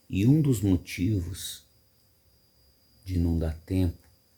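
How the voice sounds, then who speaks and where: A man with a very deep, low, somewhat breathy voice and a dark, mellow tone speaks at a very slow pace with ordinary pitch variation. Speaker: radio announcer. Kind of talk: casual reflective talk to camera.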